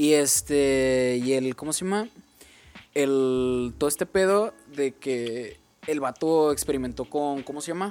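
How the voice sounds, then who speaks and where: A man's fairly high voice with a Mexican accent at a fairly slow pace. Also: ordinary pitch variation. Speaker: podcast co-host and editor. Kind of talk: casual chat.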